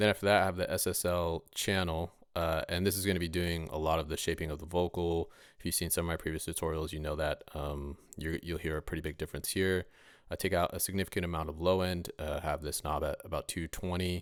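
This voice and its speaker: Over a quiet background and with a dry sound that has no echo, a man speaks very fast in a very deep, low monotone with flat intonation. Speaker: rapper and mixing tutorial maker; mixing tutorial maker. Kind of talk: tutorial.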